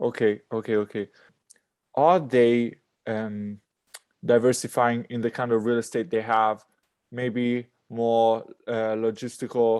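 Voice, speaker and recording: A man speaks in an Italian accent at a medium pitch and a fairly slow pace. His intonation is monotone and flat, and the background is quiet. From Italy. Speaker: podcast host. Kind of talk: interview.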